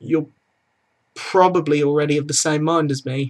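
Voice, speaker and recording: A man with a British accent speaks in a fairly high pitch with fairly even intonation. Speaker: student vlogger. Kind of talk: opinion vlog. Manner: subdued.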